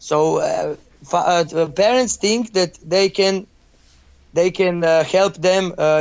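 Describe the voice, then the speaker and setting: Speaking in a Croatian accent, a man uses a high pitch with ordinary pitch variation. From Croatia, Zagreb. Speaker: youth football coach. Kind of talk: interview. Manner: halting.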